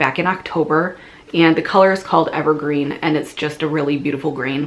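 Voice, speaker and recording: A woman's very deep, low voice at a fairly quick pace, with fairly even intonation and noticeable background noise. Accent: Midwestern. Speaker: knitting podcaster. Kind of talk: casual video podcast monologue. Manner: hesitant, many fillers and restarts.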